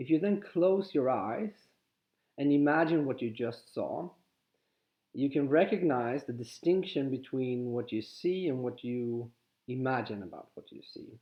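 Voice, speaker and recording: With a Swedish accent, a man talks at a fairly slow pace, his medium pitch rising and falling in lively intonation. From Sweden. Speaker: spiritual teacher. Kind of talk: guided exercise talk. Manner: halting.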